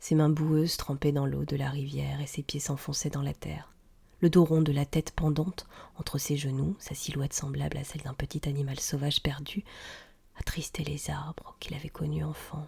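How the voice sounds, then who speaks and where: In a very deep, low pitch, a woman speaks with a dark, mellow tone, vocal fry and flat, monotone intonation at a moderate pace. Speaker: audiobook reader. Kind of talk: tale reading, audiobook narration.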